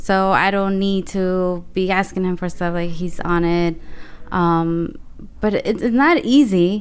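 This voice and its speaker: A woman speaks at a fairly slow pace with a Spanish accent. Her pitch varies in an ordinary way. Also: medium pitch for a woman. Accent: Spanish accent, stronger when nervous. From Colombia (Bogota), moved to New Jersey at 10. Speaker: graphic designer. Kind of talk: interview.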